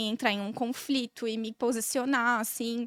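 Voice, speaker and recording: High-pitched for a woman, her voice dry and close, without any echo. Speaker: podcast guest, corporate manager with law background. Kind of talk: casual chat. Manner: calm.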